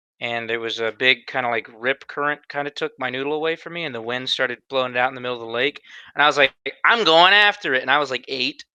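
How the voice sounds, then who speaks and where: With a slight Southern US accent, the voice races at a very fast pace, bright and sharp in tone with ordinary pitch variation. The sound is dry and close with no echo, over a quiet background. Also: man, medium pitch for a man. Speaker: podcast co-host. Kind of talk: casual chat.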